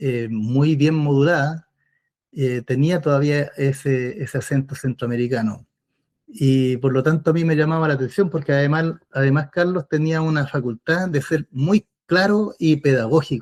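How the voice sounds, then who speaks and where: In a Chilean accent, a man speaks at a fairly high pitch. His loudness stays very even, and the sound is dry and close with no echo. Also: ordinary pitch variation, moderate pace. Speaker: former political prisoner. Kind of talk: interview testimony. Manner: hesitant, with many fillers.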